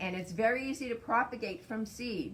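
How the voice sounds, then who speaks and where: A woman with an American accent, lively in intonation, at a moderate pace. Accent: Massachusetts accent, occasional. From Massachusetts. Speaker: native plant nursery owner. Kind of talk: guided tour explanation. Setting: outdoors in woodland nursery. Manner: casual, conversational.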